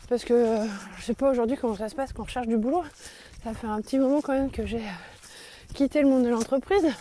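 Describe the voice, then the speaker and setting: A woman's voice at a fairly quick pace. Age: 40s. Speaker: podcaster and teacher. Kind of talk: personal reflective monologue. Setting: outdoors, walking in forest. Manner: halting, many hesitations.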